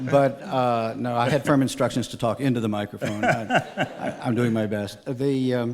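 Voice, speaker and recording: A man of medium pitch speaks with an American accent at a moderate pace. His intonation stays fairly even, and there is noticeable background noise. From Galveston, Texas. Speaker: island resident, civic figure. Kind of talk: radio interview.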